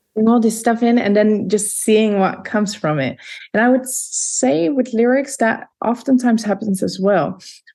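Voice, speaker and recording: Music plays in the background as the speech keeps a moderate pace and ordinary pitch variation. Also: woman, fairly high pitch for a woman. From Netherlands, Leiden. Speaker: vocalist and composer. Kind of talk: interview.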